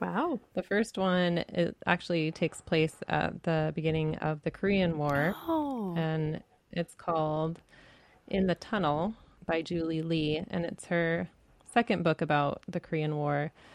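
An ordinary speaking voice, a woman's, fairly low in pitch with ordinary pitch variation, moves at a fairly slow pace in a dry, close recording with no echo and a quiet background. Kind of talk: casual chat about books.

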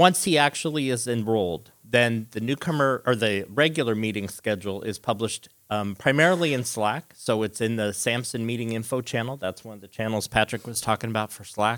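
A man's medium-pitched, normal speaking voice at a fairly quick pace with hardly any pauses, ordinary pitch variation and big swings in loudness. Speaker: IT team member giving announcements. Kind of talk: live announcements to an audience. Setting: live event with audience.

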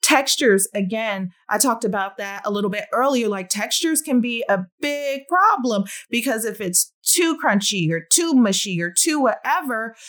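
At a moderate pace, a woman speaks in an animated tone with lively intonation. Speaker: podcast host and speech-language pathologist. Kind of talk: solo educational podcast monologue.

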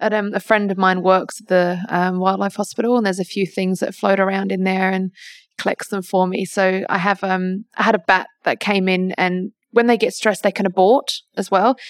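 Recorded very cleanly with a silent background and a dry, close sound with no echo, a woman with an Australian accent speaks at a moderate pace in a medium-pitched monotone with flat intonation. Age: 20s. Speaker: wildlife carer. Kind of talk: interview. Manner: hesitant, many fillers.

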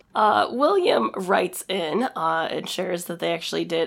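Vocal fry colors a woman's speech. She uses lively intonation at a moderate pace. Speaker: podcast co-host. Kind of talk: casual chat.

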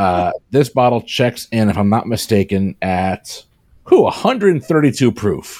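A man with a medium-pitched voice speaks at a fairly slow pace, his intonation lively. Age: 40s. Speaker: podcast panelist. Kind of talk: casual chat. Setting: video call. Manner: animated.

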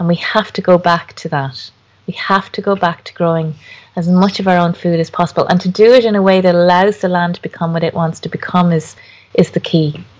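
A woman with an Irish accent speaks fairly quickly at a fairly low pitch. Her intonation stays fairly even. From Ireland. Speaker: garden designer and author. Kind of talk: interview conversation.

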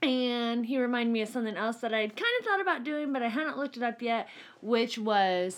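This woman's voice sits high in pitch, with ordinary variation. She talks at a fairly quick pace. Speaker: nurse and podcast co-host. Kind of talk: casual chat. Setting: home studio.

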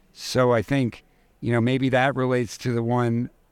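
A man's medium-pitched voice with an American accent, monotone, flat intonation and a moderate pace. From New York City. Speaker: prosthetist. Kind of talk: conversational interview. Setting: live recording at a conference.

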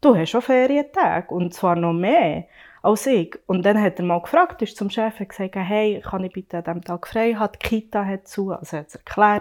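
An ordinary speaking voice from a woman, medium in pitch, at a moderate pace with ordinary pitch variation, in a very clean recording with a silent background. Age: 30s. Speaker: working mother. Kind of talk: casual discussion.

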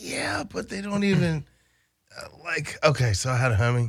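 The recording is very clean with a silent background. A man with an American accent speaks at a moderate pace, sounding somewhat breathy. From Baltimore, Maryland (US East Coast). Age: 30s. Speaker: cannabis delivery business founder. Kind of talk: casual chat.

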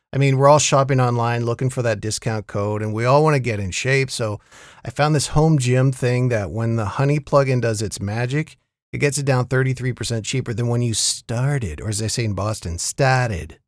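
In a normal speaking voice, the speaker talks at a fairly quick pace. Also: man, medium pitch for a man, ordinary pitch variation, very clean recording, silent background. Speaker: podcast host. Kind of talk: casual chat about TV shows. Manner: casual, conversational.

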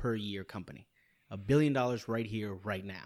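A plain, everyday voice with ordinary pitch variation on a very clean recording with a silent background. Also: man. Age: 30s. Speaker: podcast guest. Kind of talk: casual chat.

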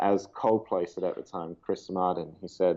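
Speaking with an Australian accent, a man uses a very deep, low pitch at a moderate pace. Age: 20s. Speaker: global poverty advocate. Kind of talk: interview. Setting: call.

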